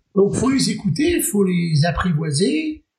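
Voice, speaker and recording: This man speaks with a high pitch. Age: 50s. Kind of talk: interview.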